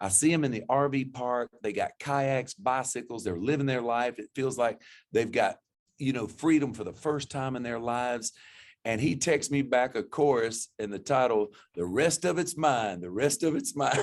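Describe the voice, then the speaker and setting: A man speaks at a moderate pace in a medium pitch, with ordinary pitch variation. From Florida panhandle, US South. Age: 60s. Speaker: country singer-songwriter. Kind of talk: interview. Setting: studio. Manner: halting, with frequent false starts.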